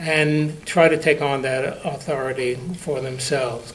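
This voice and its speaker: A man with an American accent and a fairly high pitch, fairly slow and fairly even, with audible room echo and noticeable background noise. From New York. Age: 80s+. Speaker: congregant giving a sermon. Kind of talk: sermon.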